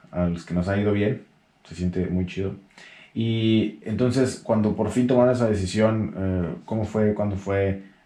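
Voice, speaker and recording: A dark, mellow tone in a Mexican accent, fairly even intonation, big swings in loudness and a fairly slow pace. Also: man, fairly low pitch for a man. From Mexico. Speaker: YouTube host, interviewer. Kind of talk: casual interview.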